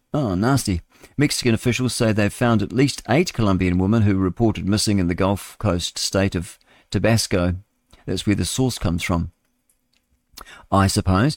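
A man's plain, everyday voice at a fairly low pitch, with ordinary pitch variation and a moderate pace, in a very clean recording with a silent background and a dry, close sound with no echo. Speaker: radio show host reading news headlines. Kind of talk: casual, chatty asides between headlines.

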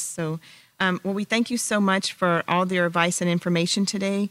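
A woman with an unremarkable speaking voice talks fairly quickly at a fairly low pitch with fairly even intonation, the sound dry and close with no echo. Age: 50s. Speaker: podcast host. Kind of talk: interview.

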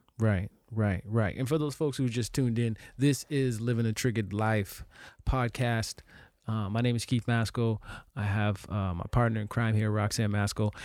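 A plain, everyday voice at a moderate pace, fairly even in intonation, on a very clean recording with a silent background. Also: man, medium pitch for a man. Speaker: actor and podcast host. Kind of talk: casual conversational podcast. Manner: informal, candid, talkative.

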